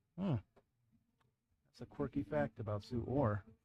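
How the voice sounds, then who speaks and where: At a fairly slow pace, a man talks with lively intonation in a dark, mellow, somewhat breathy tone. The sound is dry and close, with no echo. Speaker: co-commentator, team captain's spouse. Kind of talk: casual chat.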